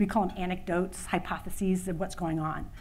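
Speaking with an American accent, a woman has an unremarkable speaking voice at a medium pitch. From Louisiana, USA. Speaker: conference keynote speaker, women's workplace initiative leader. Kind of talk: conference keynote speech. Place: hall.

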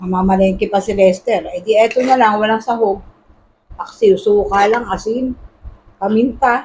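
The speech holds fairly even intonation and a moderate pace, with a somewhat breathy quality. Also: woman, fairly high pitch for a woman. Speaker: vlogger. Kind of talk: casual cooking vlog.

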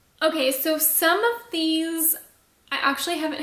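A woman speaks in a bright, sharp tone, with audible echo from the room. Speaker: beauty youtuber; beauty vlogger. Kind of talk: product review vlog. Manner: casual, chatty. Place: home room.

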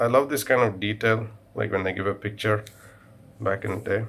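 The man here has a fairly low-pitched voice. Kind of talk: casual show-and-tell commentary. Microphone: phone near.

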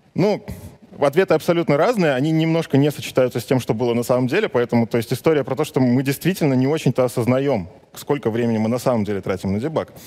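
A man at a very fast pace with lively intonation. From Belarus. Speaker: web developer and conference speaker. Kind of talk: conference talk. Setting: stage with audience. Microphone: headset.

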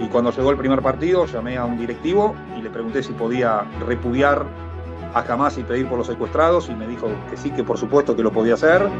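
A man talks at a very fast pace, his pitch swinging very widely. Clear music plays in the background. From Argentina. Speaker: soccer broadcaster on radio and TV. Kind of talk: interview answer. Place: home room. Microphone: webcam.

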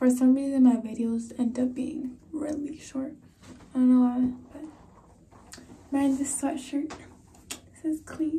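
Her pitch is high, and the woman's intonation stays monotone and flat. She talks at a fairly slow pace with long, frequent pauses. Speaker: vlogger. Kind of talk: casual vlog chat. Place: home room. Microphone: phone near.

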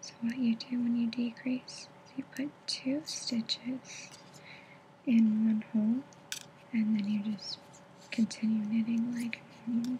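A soft-spoken woman whispers at a fairly slow pace. Long, frequent pauses break up her speech over light background noise. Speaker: ASMR creator. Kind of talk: ASMR knitting tutorial. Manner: soft-spoken, whispered. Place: home room. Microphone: webcam.

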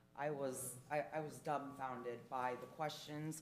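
A woman speaks with fairly even intonation, and room echo is audible. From Portuguese heritage. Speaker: public commenter at council meeting. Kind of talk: public comment. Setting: city council meeting. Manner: loud.

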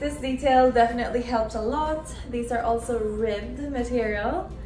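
A woman at a fairly slow pace, with audible room echo and faint music in the background. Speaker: fashion vlogger. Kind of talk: casual try-on haul chat. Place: home room. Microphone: camera far.

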